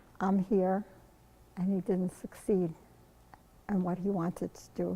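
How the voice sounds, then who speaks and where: A woman's somewhat breathy voice, medium in pitch and dark and mellow in tone, monotone and flat in intonation, at a moderate pace. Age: 70s. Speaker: Holocaust survivor, volunteer translator. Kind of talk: interview answer.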